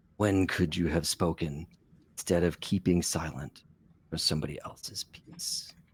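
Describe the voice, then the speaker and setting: A man uses a loud, put-on character voice with a very deep, low pitch. His pace is moderate. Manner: loud, pressing.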